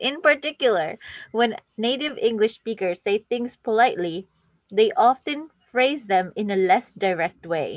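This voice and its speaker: In a dry, close recording with no echo, a voice with an American accent moves at a fairly slow pace through very wide pitch swings. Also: woman, fairly high pitch for a woman. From New Jersey. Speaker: language exchange session host. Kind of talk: reading aloud.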